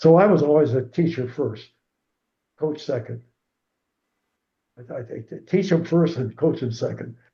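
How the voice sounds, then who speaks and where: With a dark, mellow tone, the somewhat breathy voice shows big swings in loudness and long, frequent pauses. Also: man, fairly high pitch for a man, ordinary pitch variation, moderate pace. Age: 80s+. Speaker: retired swim coach. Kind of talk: interview answer.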